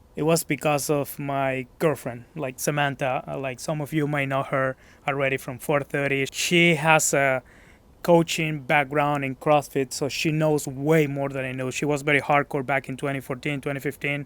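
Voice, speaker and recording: In a Mexican accent, a man talks at a moderate pace and a fairly high pitch. His intonation is monotone and flat. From Mexico, Guadalajara. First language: Spanish. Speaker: gym member. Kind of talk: casual interview. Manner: hesitant.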